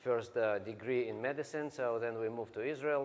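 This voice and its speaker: A man with a Russian accent talks at a fairly quick pace, his medium pitch showing ordinary pitch variation. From Russia (Siberia). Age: 40s. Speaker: network marketing distributor. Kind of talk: motivational talk.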